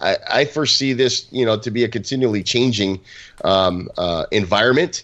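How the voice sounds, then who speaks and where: A man with a medium pitch talks at a moderate pace with ordinary pitch variation, in a plain, everyday voice. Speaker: podcast co-host. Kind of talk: casual chat.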